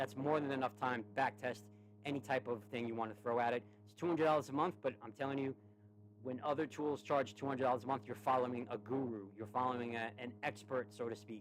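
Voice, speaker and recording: A man with a New York accent talks at a very fast pace and a medium pitch. His loudness swings widely. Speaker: stock trading streamer. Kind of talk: tutorial and sales pitch. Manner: lower energy than usual; halting, repeats words.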